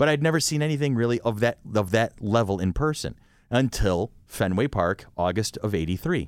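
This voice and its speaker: With an American accent, a man in an unremarkable speaking voice keeps a moderate pace and very even loudness on a very clean recording with a silent background. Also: medium pitch for a man, lively intonation. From Rochester, New York. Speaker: podcast host. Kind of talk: casual chat.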